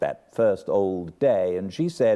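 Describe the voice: What's heard here is plain reading aloud.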